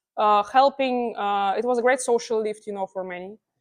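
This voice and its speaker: A woman's fairly quick speech with ordinary pitch variation against a quiet background. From Russia, Vladimir. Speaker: chess player. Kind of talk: Q&A talk. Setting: public library event with audience. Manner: halting, many false starts.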